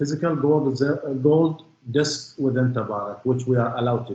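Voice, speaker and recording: Someone with a non-native accent speaks at a moderate pace in a somewhat breathy voice. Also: man. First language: not English. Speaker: witness in court. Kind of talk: cross-examination testimony.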